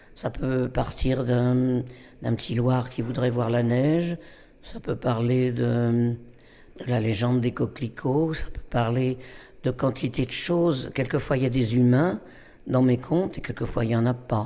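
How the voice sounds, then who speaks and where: At a fairly slow pace, a man talks with a dark, mellow tone, a medium pitch and fairly even intonation. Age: 80s+. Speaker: storyteller. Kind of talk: interview. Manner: halting.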